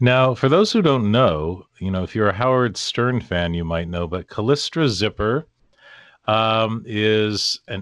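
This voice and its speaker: Using an ordinary speaking voice, a man talks at a fairly slow pace at medium pitch with lively intonation, the sound dry and close with no echo over a quiet background. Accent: General American. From US Pacific Northwest. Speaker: podcast host. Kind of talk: interview.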